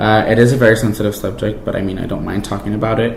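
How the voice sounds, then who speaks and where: A man's monotone, flat delivery in a Spanish accent, with noticeable background noise and audible room echo. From Mexico, Jalisco; raised in California from age 5. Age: 20s. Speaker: college student. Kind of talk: interview testimony. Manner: casual with many fillers.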